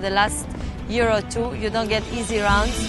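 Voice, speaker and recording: With clear music in the background, a woman speaks at a moderate pace with an Israeli accent, the sound dry with no echo. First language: Hebrew. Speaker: professional tennis player. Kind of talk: interview answer. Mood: calm, earnest. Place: open country.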